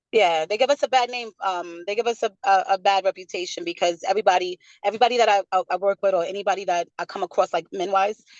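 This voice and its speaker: At a very fast pace with hardly any pauses, a woman speaks at medium pitch with fairly even intonation in a dry, close sound with no echo. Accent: New York. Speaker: rapper. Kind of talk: interview. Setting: video call.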